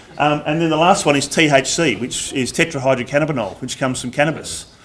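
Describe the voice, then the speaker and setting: A man speaks with an Australian accent at a fairly quick pace. His pitch variation is ordinary. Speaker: drug and alcohol awareness trainer. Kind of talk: presentation. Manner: loud.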